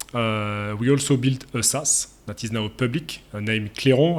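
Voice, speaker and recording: A man with a French accent, medium in pitch, with ordinary pitch variation. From France. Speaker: SEO agency founder. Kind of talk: interview. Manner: halting, many fillers.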